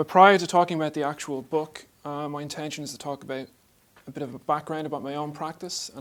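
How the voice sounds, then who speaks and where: Talking very fast with an Irish accent, a man has a fairly high pitch and fairly even intonation. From Ireland. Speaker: artist and art lecturer. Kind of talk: lecture. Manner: mumbling; speeds up as he talks.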